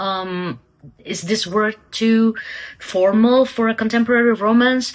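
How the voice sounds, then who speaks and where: A woman speaks at a very slow pace with a non-native accent and a fairly high pitch. Her intonation is lively, and music plays in the background. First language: not English. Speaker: aspiring novelist vlogger. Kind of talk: casual vlog talk. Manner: hesitant, many fillers.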